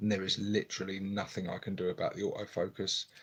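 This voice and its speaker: A soft-spoken voice moves along at a fairly quick pace. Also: man. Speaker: hobby youtuber, miniature painter. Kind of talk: live stream chat. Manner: soft-spoken, talking quietly.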